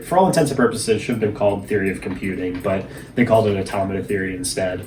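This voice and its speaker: A man with an American accent speaks at a fairly low pitch. Audible room echo and noticeable background noise surround his voice. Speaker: vlogger. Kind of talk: casual monologue vlog. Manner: fast.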